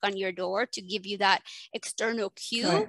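A woman's bright, sharp voice with a Spanish accent, quiet background, dry, close sound without echo. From Mexico and Texas. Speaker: family physician and ADHD coach. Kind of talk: interview.

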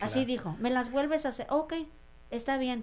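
The woman here speaks at a high pitch. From Mexico, Sierra Mixe of Oaxaca. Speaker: restaurant owner. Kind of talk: interview testimony.

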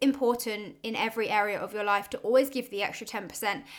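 A woman with a southern English accent, fairly high in pitch, with ordinary pitch variation at a moderate pace, on a very clean recording with a silent background. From Oxford, England. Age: 20s. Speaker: podcast host, business owner. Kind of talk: solo personal monologue.

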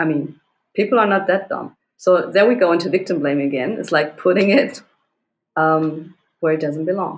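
In a normal speaking voice, a woman talks at a moderate pace, her fairly low pitch showing ordinary variation. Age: 40s. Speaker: self-defense instructor. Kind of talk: interview.

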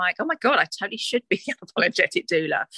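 A woman with a slight Essex accent, very fast and bright with a sharp edge, in a dry, close recording with no echo. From Essex, England. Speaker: doula and course facilitator. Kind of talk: casual interview chat.

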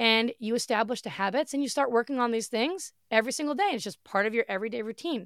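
A woman's animated, fairly high voice at a very fast pace, with ordinary pitch variation and a dry, close sound with no echo. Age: 40s. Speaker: podcast host and online entrepreneur. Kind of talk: solo motivational podcast talk. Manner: loud and bold.

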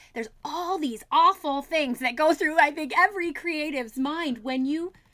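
Raised and projected, a woman's high-pitched voice carries a bright, sharp tone, ordinary pitch variation, and a moderate pace. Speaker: puppet maker and fiber artist. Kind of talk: casual interview chat.

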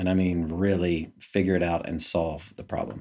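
With an American accent, a man speaks in a very deep, low voice at a moderate pace. His intonation is fairly even, and the recording is very clean with a silent background. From North Carolina, Charlotte. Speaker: dentist. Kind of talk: interview. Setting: in an office.

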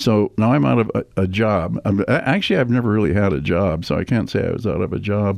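Delivered very fast with hardly any pauses, this voice has vocal fry, very even loudness and lively intonation. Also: man, fairly low pitch for a man. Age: 80s. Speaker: retired casino executive, guest. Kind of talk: casual interview.

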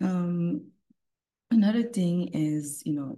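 Speaking very slowly with a Caribbean accent, a woman has a fairly low pitch and a dark, mellow, somewhat breathy tone. Her intonation is lively. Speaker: podcast host. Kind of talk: live podcast recording with prepared remarks. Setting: live online audience. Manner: warm, encouraging.

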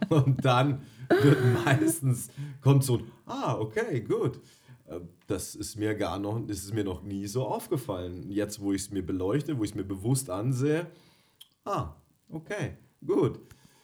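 A man speaks fairly slowly with lively intonation and a somewhat breathy voice. He leaves long, frequent pauses. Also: medium pitch for a man. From Bavaria, Germany. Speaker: dog trainer, podcast co-host. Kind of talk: casual chat.

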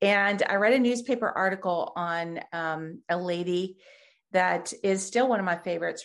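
Against a quiet background, a woman speaks with a US Midwestern accent. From Ohio, near Columbus. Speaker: nonprofit ministry founder. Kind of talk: interview.

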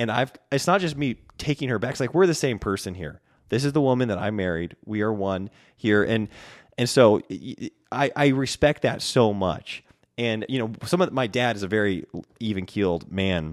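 Against a silent background in a very clean recording, a man with an ordinary speaking voice and medium pitch talks at a moderate pace with lively intonation. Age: young. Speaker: podcast host, musician and business owner. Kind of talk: casual chat. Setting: studio.

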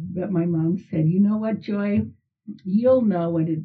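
A woman's somewhat breathy voice moves fairly slowly, with ordinary pitch variation. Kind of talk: casual interview.

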